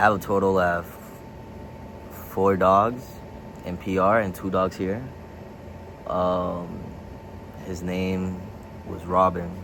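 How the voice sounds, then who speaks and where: A man with a very deep, low pitch talks very slowly in a monotone, flat way, leaving long, frequent pauses. Room echo is audible. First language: Spanish. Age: 20s. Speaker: vlogger. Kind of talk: casual vlog.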